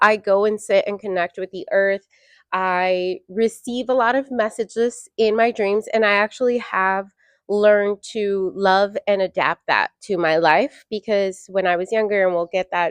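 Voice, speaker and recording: A woman's medium-pitched, ordinary speaking voice at a fairly slow pace, dry and close with no echo, over a quiet background. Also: fairly even intonation. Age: 30s. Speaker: podcast co-host. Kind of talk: casual chat. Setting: studio.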